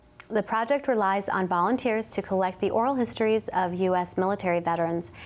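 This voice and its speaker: A woman uses an ordinary speaking voice at medium pitch with ordinary pitch variation. She talks at a fairly quick pace against a quiet background. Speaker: oral history interviewer. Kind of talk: program introduction.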